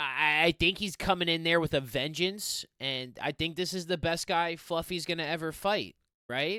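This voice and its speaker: A high-pitched man speaks with ordinary pitch variation in a very clean recording with a silent background and a dry, close sound with no echo. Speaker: MMA fight predictor. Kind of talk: solo fight preview and picks. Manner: fast; animated.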